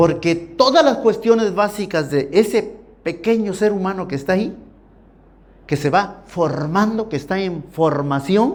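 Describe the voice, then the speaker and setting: Amid audible room echo, a man with a high pitch talks at a fairly slow pace, his tone animated and his intonation lively. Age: 60s. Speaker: preacher. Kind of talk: sermon.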